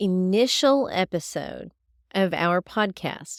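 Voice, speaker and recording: In a Southern US accent, a woman speaks at a medium pitch with ordinary pitch variation. The recording is very clean with a silent background, dry and close with no echo. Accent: Southern US drawl. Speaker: homesteader, podcast host. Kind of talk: podcast monologue. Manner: casual, straightforward, humorous.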